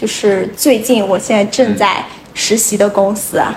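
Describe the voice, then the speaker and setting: A woman's voice is heard with audible room echo. Noticeable background noise runs beneath it. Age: 20s. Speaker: university student on gap year in cross-border e-commerce. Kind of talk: casual chat. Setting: studio. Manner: animated.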